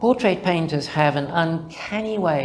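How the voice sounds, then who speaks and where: Noticeable background noise sits under a voice with ordinary pitch variation at a moderate pace. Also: man. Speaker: mathematician presenting a conference paper. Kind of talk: conference talk. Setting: conference with audience.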